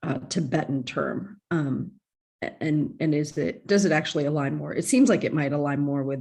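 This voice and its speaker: Dark, mellow tone with vocal fry, a moderate pace and ordinary pitch variation. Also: woman, very deep, low pitch for a woman. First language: Indic language. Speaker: student. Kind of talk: class discussion.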